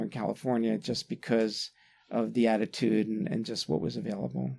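This man has an ordinary speaking voice, medium pitch and an American accent. He talks at a fairly quick pace on a very clean recording with a silent background. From US East Coast, Atlantic City, New Jersey. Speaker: podiatrist. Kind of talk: interview.

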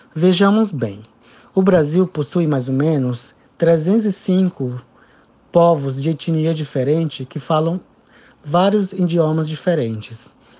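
The speaker talks at a very slow pace with ordinary pitch variation and long, frequent pauses. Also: man, fairly high pitch for a man. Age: 20s. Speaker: doctor. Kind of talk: interview.

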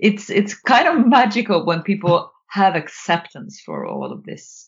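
Lively intonation marks this somewhat breathy voice. The speaker talks with a Swedish accent. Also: woman. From Sweden. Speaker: author and nonviolent communication trainer. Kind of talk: casual interview conversation. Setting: remote call.

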